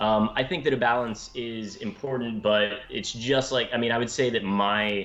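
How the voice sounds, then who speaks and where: A man talks at a moderate pace with fairly even intonation and a medium pitch. There is noticeable background noise. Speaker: game master. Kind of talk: casual chat on live stream.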